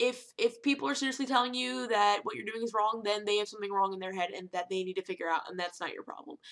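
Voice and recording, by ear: A woman talks at a fast pace in a medium pitch, her tone fairly bright and her intonation fairly even.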